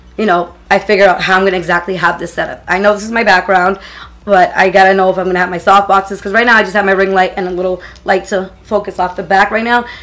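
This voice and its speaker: Very fast speech from a woman, with noticeable background noise. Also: medium pitch for a woman. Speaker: beauty YouTuber. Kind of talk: casual vlog tutorial. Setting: home filming setup. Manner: uneven volume, voice goes up and down; animated.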